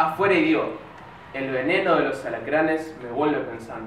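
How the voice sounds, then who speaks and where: Over light background noise, a man talks at a moderate pace in a room with audible echo. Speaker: spoken word poet. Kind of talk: spoken word poetry performance. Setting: live open-mic event. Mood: intimate, reflective. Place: stage.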